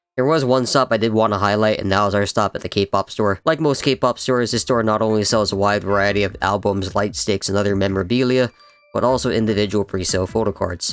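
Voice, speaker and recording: With an American accent, a man with a fairly low pitch and ordinary pitch variation talks at a very fast pace with hardly any pauses and very even loudness, the sound dry and close with no echo despite noticeable background noise. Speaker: YouTuber / vlogger. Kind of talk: casual chat with friends; comedic vlog narration.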